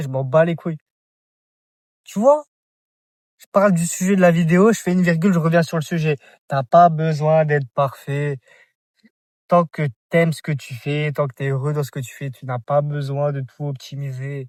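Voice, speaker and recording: Somewhat breathy and fairly high-pitched, a man talks at a moderate pace with ordinary pitch variation and long, frequent pauses. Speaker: vlogger. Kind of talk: casual vlog monologue. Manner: halting, repetitive.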